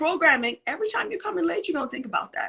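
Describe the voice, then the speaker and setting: Her raised, projected voice has a bright, sharp tone and very wide pitch swings. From Trinidad. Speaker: motivational speaker. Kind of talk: live conversation. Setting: livestream.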